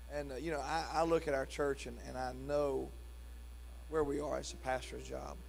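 There is light background noise behind a man. He speaks at a moderate pace. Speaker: pastor. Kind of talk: church service welcome, prayer and announcements; sermon. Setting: church. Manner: warm, casual, jovial. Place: church. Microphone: handheld.

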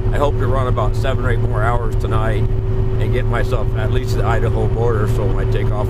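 Over loud background noise, a man talks at a very fast pace with a dry sound and no echo. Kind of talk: casual vlog chat. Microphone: camera far.

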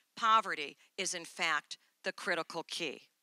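Bright and sharp in tone, a woman speaks with ordinary pitch variation. The sound is dry with no echo and the background quiet. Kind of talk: conference speech. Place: stage. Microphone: handheld.

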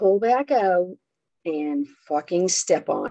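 Quiet surroundings behind a natural reading voice

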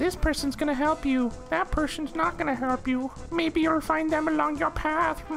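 Over clear music in the background, a woman uses a put-on character voice at a high pitch, moving at a moderate pace with hardly any pauses. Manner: vague, cryptic.

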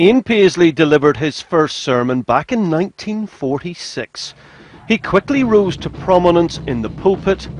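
A man's high voice at a moderate pace with very wide pitch swings, dry and close with no echo, over noticeable background noise. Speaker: news reporter. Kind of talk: TV news report.

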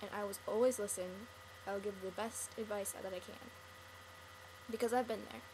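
A woman talks with fairly even intonation while noticeable background noise runs behind her. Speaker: video blogger. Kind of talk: personal monologue to camera. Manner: earnest, rambling. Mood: sad, earnest, comforting. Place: home room. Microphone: webcam.

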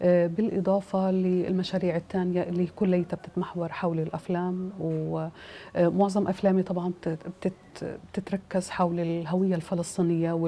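Speaking in a Palestinian accent, a woman with a dark, mellow tone goes at a fairly slow pace with monotone, flat intonation. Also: fairly low pitch for a woman. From Palestine (Gaza, Ramallah). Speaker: film director and producer. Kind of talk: interview. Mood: calm, earnest.

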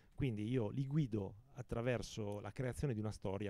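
The sound is dry with no echo as a man speaks fairly quickly in a fairly low pitch with a dark, mellow tone and ordinary pitch variation. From Lodi, Lombardy, northern Italy; Lombardy, Italy. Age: 50s. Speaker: author and publisher. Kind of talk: interview. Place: garden. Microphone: handheld.

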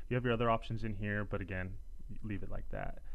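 A man with a fairly low pitch. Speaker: tutorial narrator. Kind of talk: tutorial.

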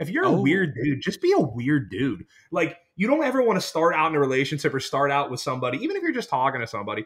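A man's fairly high, somewhat breathy voice with an American accent, lively intonation and a very fast pace. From Pittsburgh, Pennsylvania. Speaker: podcast co-host, sports bettor. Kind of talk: casual chat.

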